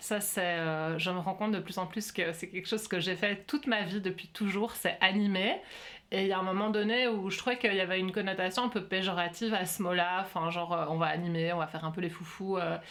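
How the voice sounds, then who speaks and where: A woman talks at a fairly quick pace in a medium pitch. Her intonation stays fairly even. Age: 40s. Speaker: workshop facilitator. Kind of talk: interview conversation. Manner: hesitant, many fillers.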